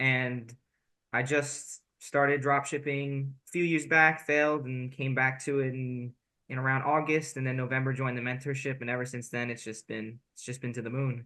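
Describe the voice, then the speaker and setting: A man speaks in a bright, sharp tone with monotone, flat intonation. The background is quiet. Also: medium pitch for a man, moderate pace. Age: 18. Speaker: college student and online seller. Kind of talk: interview. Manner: casual, with many fillers.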